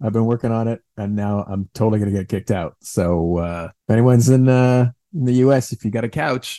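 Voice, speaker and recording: With a slight Canadian accent, this dark, mellow voice runs at a fairly quick pace with hardly any pauses and ordinary pitch variation, in a dry, close sound with no echo. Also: man, medium pitch for a man. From Ottawa, Canada. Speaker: comedian and writer. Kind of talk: casual chat. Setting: video call. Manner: joking, animated.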